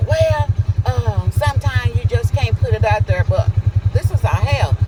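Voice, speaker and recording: A man talks at a moderate pace in a fairly low voice, his loudness very even. Noticeable background noise sits behind him. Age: 60s. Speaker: local resident and activist. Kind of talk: interview. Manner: animated.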